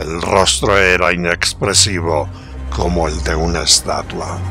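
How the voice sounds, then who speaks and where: Music plays in the background as a man speaks very slowly. His intonation is lively. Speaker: storyteller. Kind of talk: horror story narration.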